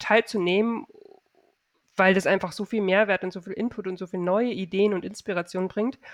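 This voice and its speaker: A woman has a plain, everyday voice at a medium pitch with fairly even intonation. The sound is dry and close with no echo, over a quiet background. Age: 40s. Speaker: online shop owner and e-commerce coach. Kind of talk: casual interview chat.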